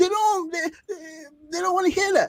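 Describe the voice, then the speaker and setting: With a Nigerian accent, a man talks at a fairly quick pace in an animated tone, the sound dry and close with no echo. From Nigeria (Ijaw). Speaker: medical student, social media creator. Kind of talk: interview conversation.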